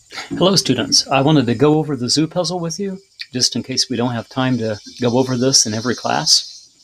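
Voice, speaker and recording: Very fast, a man talks at medium pitch. Noticeable background noise runs behind him. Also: ordinary pitch variation. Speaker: teacher. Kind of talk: tutorial.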